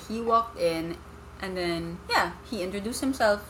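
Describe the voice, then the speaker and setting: A woman talks at a fairly slow pace, her pitch medium with ordinary variation. Noticeable background noise runs under her voice. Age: 20s. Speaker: marketing professional, former teacher. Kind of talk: casual chat. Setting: in person.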